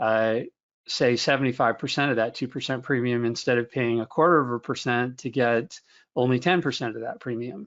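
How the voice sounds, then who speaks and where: A man talks at a moderate pace in an unremarkable speaking voice. His pitch sits in the medium range. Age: 50s. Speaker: investment research director. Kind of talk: webinar Q&A answer. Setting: online webinar.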